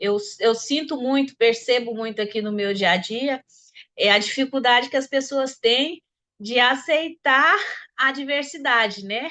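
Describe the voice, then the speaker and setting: With a rural Brazilian accent, a woman talks in a high pitch with a bright, sharp tone. Her pitch varies in an ordinary way against a quiet background. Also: fairly slow pace. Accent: Brazilian countryside accent, still noticed. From Brazil, countryside interior. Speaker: discussion participant. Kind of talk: personal testimony in group discussion. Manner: halting, many repetitions.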